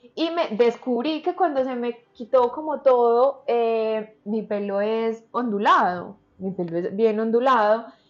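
A woman's fairly high voice with lively intonation, a very slow pace and hardly any pauses. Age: 20s. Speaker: model and entrepreneur. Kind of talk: interview conversation.

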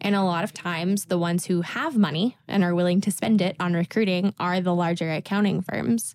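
In a plain, everyday voice, a woman with an American accent speaks at a fairly low pitch and a fairly quick pace, with hardly any pauses. Her intonation is fairly even, her loudness very even, and the sound dry and close with no echo. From Tennessee, US. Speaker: podcast co-host, financial analyst, alumni. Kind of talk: casual chat, podcast. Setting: studio.

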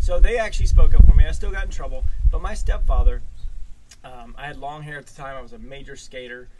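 Talking very fast with an American accent, a man swings widely in loudness over noticeable background noise and audible room echo. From Maryland, US East Coast. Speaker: podcast host being interviewed. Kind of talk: casual interview over whiskey.

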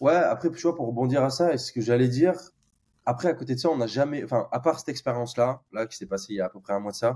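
A man with a medium pitch and a dark, mellow tone speaks at a very fast pace, his pitch varying in an ordinary way while his loudness swings widely. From France, Bordeaux. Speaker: tech employee, expat. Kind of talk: casual interview.

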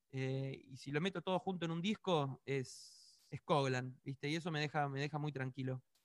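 With hardly any pauses, a man at a fairly high pitch talks at a moderate pace and ordinary pitch variation. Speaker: pop musician. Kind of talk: interview.

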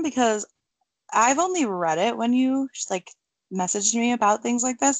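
The speaker is a woman with an American accent. Her voice is high-pitched. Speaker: true crime podcast co-host. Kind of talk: casual chat, narrating case.

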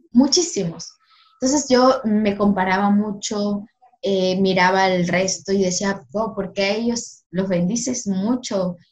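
A woman speaks with a medium pitch. Her pace is very slow. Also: ordinary pitch variation. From Ecuador, Guayaquil (south). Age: 20s. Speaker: law student and youth ministry worker. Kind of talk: faith podcast interview and testimony.

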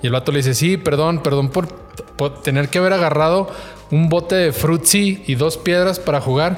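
Over noticeable background noise, a man with a fairly high pitch talks at a moderate pace, his pitch varying in an ordinary way and his loudness very even. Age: 30s. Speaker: podcast co-host. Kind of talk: casual chat.

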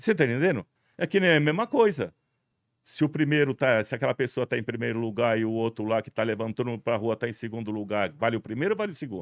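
Very fast and full of lively intonation, a man speaks at a medium pitch. The recording is very clean with a silent background, and the sound is dry and close with no echo. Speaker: television director. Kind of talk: interview. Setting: studio, streamed live on Instagram. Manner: loud.

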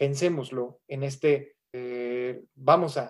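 A man speaks at a medium pitch. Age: 30s. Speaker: gerontologist. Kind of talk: lecture. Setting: webinar.

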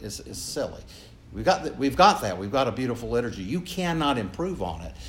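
A man with an American accent speaks with vocal fry. His pitch swings very widely. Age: 70s. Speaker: priest. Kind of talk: conference talk with audience Q&A. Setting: room with audience. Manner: joking, informal.

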